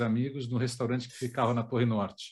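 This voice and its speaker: This man's voice is somewhat breathy and medium in pitch. The recording is very clean with a silent background. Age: 50s. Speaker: documentary director and journalist. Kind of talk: interview.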